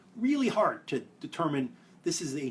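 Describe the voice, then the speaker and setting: With a Brooklyn accent, a man speaks at a fairly high pitch and makes very wide pitch swings. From New York (Brooklyn). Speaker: privacy policy expert. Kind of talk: explainer video. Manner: fast.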